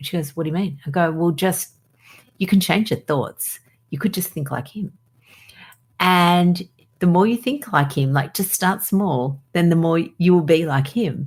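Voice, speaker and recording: Somewhat breathy and fairly low in pitch, a woman speaks at a moderate pace with lively intonation. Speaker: doctor, podcast host. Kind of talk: podcast conversation.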